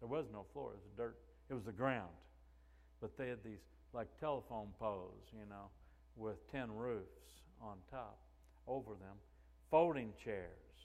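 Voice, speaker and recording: A man speaks at a fairly slow pace with long, frequent pauses. His fairly low voice shows big swings in loudness. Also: ordinary pitch variation. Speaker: pastor. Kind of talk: sermon. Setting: church.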